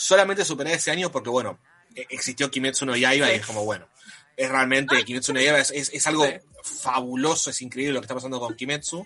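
A man with an Argentine accent at a very fast pace, medium pitch and ordinary pitch variation, amid noticeable background noise. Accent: Argentine Spanish (Rioplatense). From Argentina. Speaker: anime content creator. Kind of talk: casual chat.

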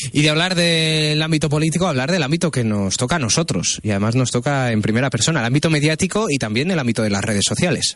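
At a very fast pace with hardly any pauses, a man talks at a fairly high pitch with lively intonation and very even loudness. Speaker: radio news host. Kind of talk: radio interview.

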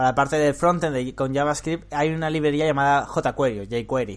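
Against a quiet background, a man with a plain, everyday voice speaks at a moderate pace and a fairly high pitch. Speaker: podcast host and programming teacher. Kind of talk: casual interview chat.

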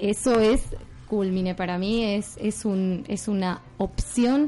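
Ordinary pitch variation marks this woman's speech, which carries a dark, mellow tone. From Argentina. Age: 30s. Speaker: yoga teacher. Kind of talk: radio interview.

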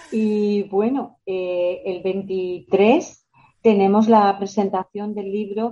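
A woman's dark, mellow voice at a medium pitch, with fairly even intonation. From La Rioja, Spain. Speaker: municipal equality officer. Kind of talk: radio interview.

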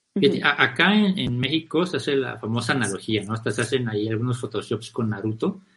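At a moderate pace, a man speaks at a medium pitch in a plain, everyday voice. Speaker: podcast host. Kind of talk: casual chat.

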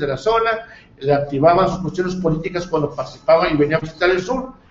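With lively intonation and a high pitch, a man talks as noticeable background noise fills the recording. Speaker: local news show host. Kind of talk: interview; broadcast announcements. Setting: studio, live TV and radio. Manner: halting, many fillers.

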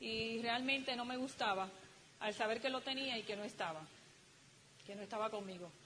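Fairly high-pitched woman's voice with ordinary pitch variation, a moderate pace and long, frequent pauses, over noticeable background noise. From Dominican Republic. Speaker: motivational speaker, business couple. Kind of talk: motivational talk to audience.

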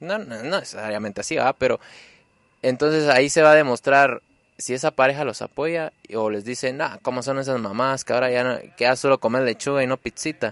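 In a normal speaking voice, a man of medium pitch talks at a fairly quick pace with ordinary pitch variation, recorded with a dry, close sound with no echo. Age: 20s. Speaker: weight-loss interviewee. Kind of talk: casual interview.

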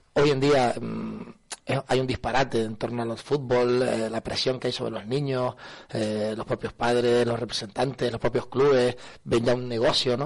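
The man's voice sits at a medium pitch with a monotone, flat intonation. He keeps a moderate pace. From Canary Islands, north Tenerife (Buenavista del Norte). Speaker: football coach, former pro player. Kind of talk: radio interview.

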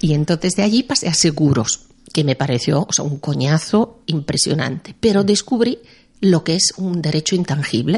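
Somewhat breathy and fairly low in pitch, a woman with an Italian accent speaks at a moderate pace with lively intonation. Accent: Italian-tinged Spanish. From Milan, Italy. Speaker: music publisher. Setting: studio.

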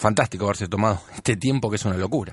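Ordinary rises and falls in pitch in a plain, everyday voice. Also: man. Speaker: radio host. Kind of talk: radio show chat.

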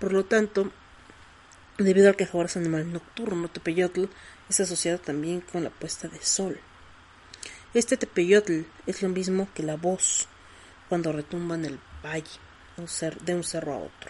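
Amid noticeable background noise, a woman talks with fairly even intonation and long, frequent pauses. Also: fairly low pitch for a woman, moderate pace. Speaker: podcast host. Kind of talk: casual monologue.

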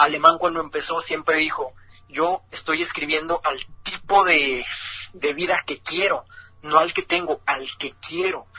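Fairly high male voice, fairly slow and fairly even in intonation, over noticeable background noise. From northern Mexico, Ciudad Juárez. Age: 20s. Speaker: freestyle rapper. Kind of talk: interview.

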